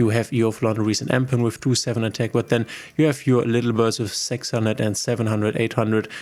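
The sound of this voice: A man talks fairly quickly at a medium pitch with little pitch movement and a slightly mellow tone.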